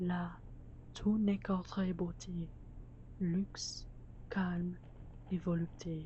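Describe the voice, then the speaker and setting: The delivery is very slow, with long, frequent pauses. The intonation stays monotone and flat. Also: woman, fairly low pitch for a woman. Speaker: student filmmaker. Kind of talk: poetry reading. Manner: whispered.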